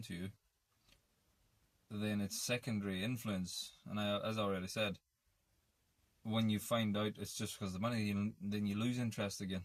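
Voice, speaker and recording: A man with an Irish accent and a fairly low pitch, moderate pace, monotone, flat intonation, and long, frequent pauses. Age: 30s. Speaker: vlogger. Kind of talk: casual monologue. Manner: halting.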